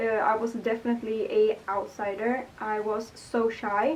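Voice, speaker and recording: A woman with a Swedish accent speaks at a fairly high pitch. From Sweden, Gothenburg. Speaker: vlogger. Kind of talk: casual Q&A vlog. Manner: hesitant, many fillers. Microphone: poor microphone, hard to hear.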